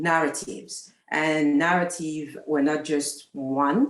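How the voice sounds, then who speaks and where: With music playing in the background, a woman with a French accent speaks at a very deep, low pitch. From France. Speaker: talent manager. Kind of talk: panel discussion. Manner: halting, many fillers.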